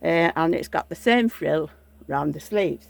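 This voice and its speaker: A woman speaks with a northern English accent at a fairly slow pace. Her pitch swings very widely. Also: dry, close sound with no echo. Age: 70s. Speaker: vlogger showing reborn dolls. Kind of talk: casual show-and-tell vlog.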